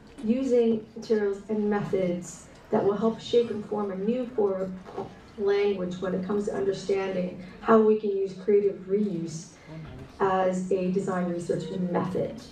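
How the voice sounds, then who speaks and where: A woman with a Canadian accent speaks fairly slowly at a medium pitch with fairly even intonation, with audible room echo and noticeable background noise. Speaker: textile and fashion design researcher. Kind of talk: conference presentation.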